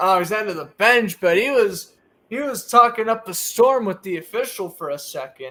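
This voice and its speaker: A man with an American accent, high pitch and lively intonation, a raised, projected voice with a bright, sharp tone, big swings in loudness and a moderate pace. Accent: Boston accent, slips sometimes. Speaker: sports podcast host. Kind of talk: live play-by-play commentary. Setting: live stream on camera.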